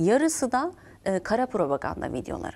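The voice belongs to a woman with a fairly high pitch. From Turkey. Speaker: program host and interviewer; TV program host. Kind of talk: interview. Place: studio. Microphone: lapel.

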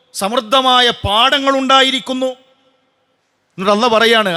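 A man's raised, projected voice with a bright, sharp tone. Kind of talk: Friday sermon.

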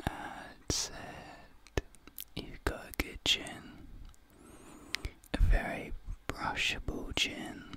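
Whispering at a very slow pace, a man's voice shows big swings in loudness. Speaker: ASMR creator. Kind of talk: soft ASMR roleplay talk. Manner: soft, close ASMR murmur. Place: home room. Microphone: studio mic.

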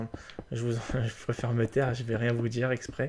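Here is a man speaking. He has a plain, everyday voice. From Polish-French. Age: 20s. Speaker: gaming YouTuber. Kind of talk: casual gameplay commentary.

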